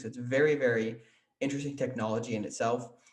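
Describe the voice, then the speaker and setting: Audible room echo surrounds a man with an American accent whose medium-pitched, somewhat breathy voice stays flat and monotone. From northern Wisconsin. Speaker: podcast host. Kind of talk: podcast intro and interview.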